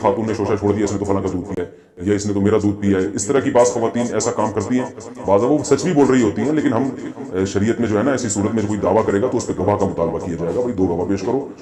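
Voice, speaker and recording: With music behind him, the man's fairly low voice shows ordinary pitch variation. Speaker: Islamic scholar answering viewers' religious questions. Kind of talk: religious Q&A lecture.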